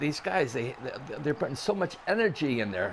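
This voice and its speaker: This man speaks with a Chicago accent. His pitch swings very widely. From Chicago area. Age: 70s. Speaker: baseball fan. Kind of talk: interview answer.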